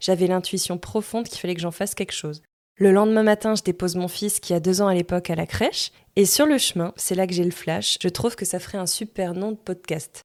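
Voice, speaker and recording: Here is a woman with an ordinary speaking voice, talking at a fairly quick pace at medium pitch with ordinary pitch variation. The recording is very clean, with a silent background. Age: 30s. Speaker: podcast host. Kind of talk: personal storytelling monologue. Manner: casual.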